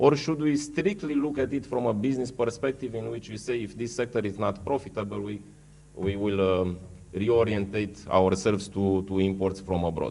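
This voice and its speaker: A man with a Romanian accent, fairly low in pitch, with ordinary pitch variation, a moderate pace and audible room echo. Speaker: food company executive. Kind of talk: conference panel presentation. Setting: conference hall with audience. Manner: halting.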